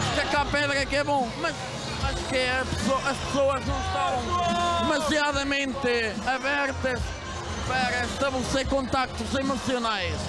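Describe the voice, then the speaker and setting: Music sounds in the background. A man talks rather slowly. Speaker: interviewee. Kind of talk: interview answer, playful banter. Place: street. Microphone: handheld.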